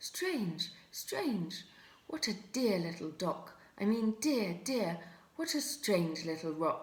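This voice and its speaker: Someone puts on a squeaky character voice and speaks very slowly. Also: female-sounding voice, medium pitch for a woman. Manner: muddled, comical.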